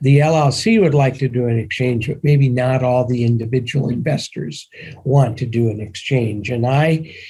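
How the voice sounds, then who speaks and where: With a somewhat breathy, dark, mellow tone, a man speaks at a medium pitch and a moderate pace. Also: ordinary pitch variation. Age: 70s. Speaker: securities attorney advising syndicators. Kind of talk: podcast interview.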